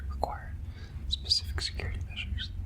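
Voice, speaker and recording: Soft-spoken whispering comes at a very fast pace. Noticeable background noise runs underneath. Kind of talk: whispered ASMR reading of a professional handbook. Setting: close-up microphone. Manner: whispered, soft-spoken.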